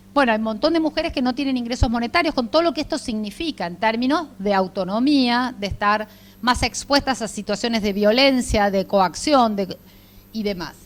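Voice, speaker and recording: Her intonation is lively. The woman's voice is fairly high in pitch. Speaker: lecturer on care rights. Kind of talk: lecture. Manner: fast.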